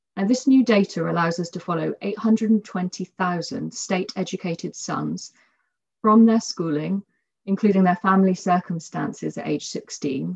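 Her voice fairly low and somewhat breathy, a woman speaks at a fairly slow pace with ordinary pitch variation. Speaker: economics researcher. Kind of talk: research presentation. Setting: online webinar.

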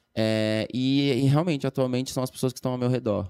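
A man speaks with fairly even intonation in a dry recording with no echo. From Florianópolis, Brazil; Brazil. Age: 30s. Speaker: dancer and dance teacher; dance teacher. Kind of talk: casual chat. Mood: calm, reflective. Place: studio. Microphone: studio mic.

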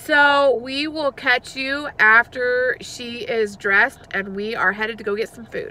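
A high-pitched woman's voice with ordinary pitch variation and big swings in loudness, in a dry sound with no echo. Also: fairly slow pace. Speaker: parent vlogger. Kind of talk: casual vlog chat.

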